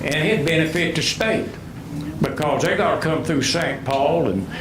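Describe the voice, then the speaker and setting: Someone speaking with an Appalachian accent uses ordinary pitch variation amid noticeable background noise and audible room echo. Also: man. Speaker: retired coal miner speaking at public hearing. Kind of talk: public comment at county board meeting. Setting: public hearing with microphone. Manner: loud.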